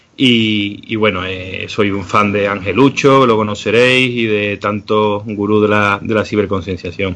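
A man talks at a fairly slow pace with a fairly low pitch and a fairly even intonation. It is a normal speaking voice. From Seville, Andalusia. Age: 40s. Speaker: cybersecurity educator. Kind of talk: interview.

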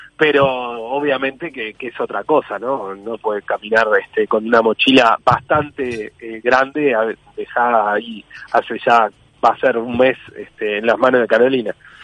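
Dry and close with no echo, a man with an ordinary speaking voice and medium pitch talks at a fairly slow pace with fairly even intonation. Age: 30s. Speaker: politician. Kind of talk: interview.

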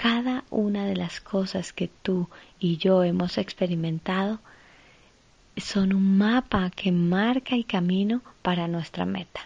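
A woman speaks at a very slow pace, somewhat breathy, at a medium pitch. Her pitch variation is ordinary. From Colombia, Ibagué. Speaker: actress and podcast host. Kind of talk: inspirational monologue.

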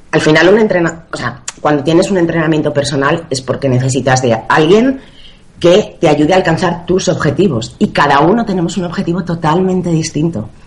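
A woman with a fairly low voice speaks at a moderate pace with lively intonation over noticeable background noise. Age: 30s. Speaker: personal trainer. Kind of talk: interview.

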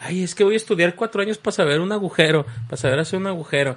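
A man's put-on character voice, whiny and high, at a very fast pace. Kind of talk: colloquial. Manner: sarcastic, mocking, whiny.

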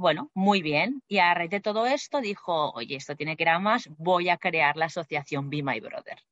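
A woman with an ordinary speaking voice talks at a moderate pace and fairly low pitch, using lively intonation and hardly any pauses. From Spain, Barcelona. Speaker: flight attendant. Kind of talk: interview.

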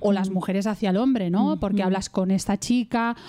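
A woman's dark, mellow tone at a medium pitch, with fairly even intonation and a moderate pace. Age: 40s. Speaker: radio host. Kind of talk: interview.

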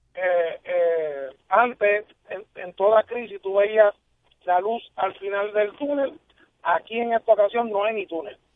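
At a very slow pace, a man talks with a high pitch and ordinary pitch variation. His loudness swings widely. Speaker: television producer. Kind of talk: radio interview. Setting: phone call.

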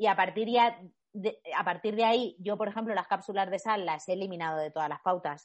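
A woman with an unremarkable speaking voice talks at a fairly quick pace and medium pitch, with ordinary pitch variation. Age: 30s. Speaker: sports nutritionist and trail runner. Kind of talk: casual interview.

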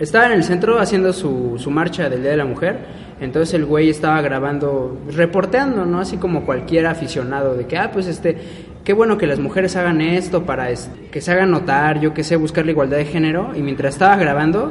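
A man with a fairly high pitch is heard amid noticeable background noise and audible room echo. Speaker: podcast co-host. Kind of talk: casual chat.

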